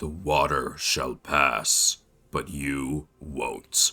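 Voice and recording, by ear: Using a put-on character voice, a man speaks very slowly with a very deep, low pitch.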